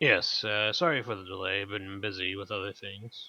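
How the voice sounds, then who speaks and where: Using a put-on character voice, a man speaks fairly low at a moderate pace. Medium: actual play. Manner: gruff, blunt.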